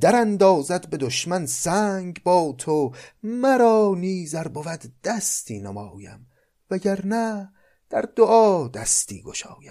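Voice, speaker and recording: On a very clean recording with a silent background, a man speaks very slowly at a high pitch, with lively intonation and big swings in loudness. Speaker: literature podcaster and reader of classical poetry. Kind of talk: poetry reading with commentary.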